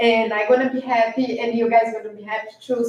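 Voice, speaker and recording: A woman's fairly high, monotone voice with flat intonation and a non-native accent. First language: not English. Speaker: public commenter, property investor. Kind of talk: public comment at city meeting. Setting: city commission meeting. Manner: halting.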